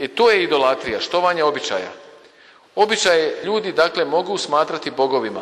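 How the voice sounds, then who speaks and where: His pitch is high for a man. Its variation stays ordinary. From Bosnia and Herzegovina, Kupres. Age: 50s. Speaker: priest. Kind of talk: sermon.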